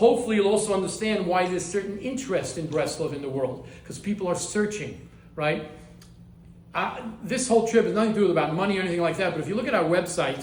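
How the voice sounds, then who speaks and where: A high-pitched man with an American accent at a very fast pace, with ordinary pitch variation, noticeable background noise and audible room echo. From US, Baltimore. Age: 60s. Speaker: rabbi, head of a yeshiva. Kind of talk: lecture. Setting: class in a private home. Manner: halting, frequent repetitions.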